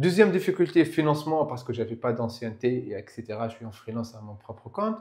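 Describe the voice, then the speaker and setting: A man talks very fast at a medium pitch, with lively intonation and big swings in loudness. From Tunisia (Tunis). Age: young. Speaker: IT freelancer, property investor. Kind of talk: casual interview. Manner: halting.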